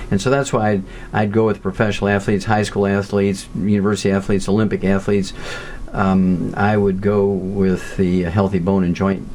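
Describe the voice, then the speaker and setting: The delivery is fairly quick. Noticeable background noise sits behind it. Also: man. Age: 70s. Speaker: nutritionist and pathologist. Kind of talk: interview. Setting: audio interview.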